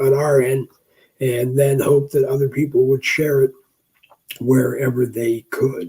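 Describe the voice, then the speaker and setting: Speaking at a very slow pace, this man has a fairly high pitch and a dark, mellow tone that is somewhat breathy. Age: 60s. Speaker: live stream talk show host. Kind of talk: casual live stream monologue. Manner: hesitant, many filler words.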